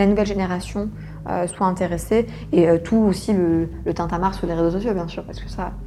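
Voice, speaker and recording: A woman with a plain, everyday voice speaks at a fairly quick pace in a medium pitch with fairly even intonation. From Senegal. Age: 20s. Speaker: art gallery founder. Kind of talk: interview. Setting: office.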